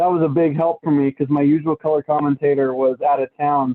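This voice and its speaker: A man with an American accent and an ordinary speaking voice, moderate pace and fairly even intonation. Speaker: baseball broadcaster. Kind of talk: interview.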